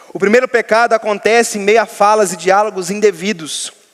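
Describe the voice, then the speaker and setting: A man talks at a moderate pace. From Minas Gerais, Brazil. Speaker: pastor. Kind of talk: sermon.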